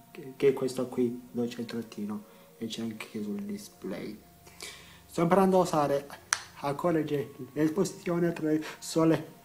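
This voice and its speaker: Music plays in the background as a man speaks. His pitch is fairly high and his intonation lively. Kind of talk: casual talk to camera.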